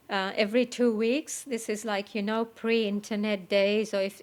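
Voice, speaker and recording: A woman with a non-native accent speaks at medium pitch and a moderate pace with monotone, flat intonation. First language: not English. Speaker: meditation teacher. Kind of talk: spiritual talk. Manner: hesitant, with frequent fillers.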